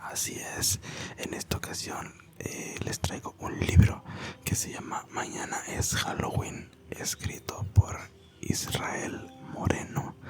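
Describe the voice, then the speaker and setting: A very slow whisper under noticeable background noise. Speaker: ASMR creator. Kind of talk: casual talk to camera. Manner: whispered.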